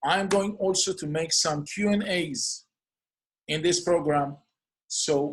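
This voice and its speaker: A man speaks in an Israeli accent. His intonation is fairly even. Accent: non-native English, Hebrew. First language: Hebrew. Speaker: clinical hypnotherapist. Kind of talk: podcast introduction monologue.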